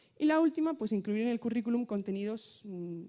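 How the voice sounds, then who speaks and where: A dark, mellow tone comes from a woman. She talks at a fairly quick pace. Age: 20s. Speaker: student representative. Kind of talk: conference talk. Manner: fast.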